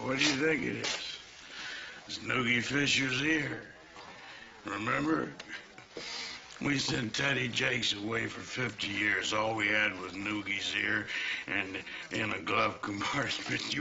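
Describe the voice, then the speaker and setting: Using a put-on character voice, a man growls out raspy lines at a fairly slow pace and a fairly low pitch, with clear background noise behind him. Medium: short film. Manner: rambling, hesitant.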